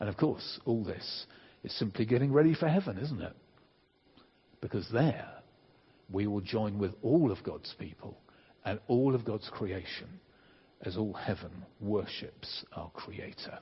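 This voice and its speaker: A man speaks at a fairly low pitch in a somewhat breathy voice. His pace is fairly slow, with long, frequent pauses. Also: lively intonation. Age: 60s. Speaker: preacher. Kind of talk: sermon.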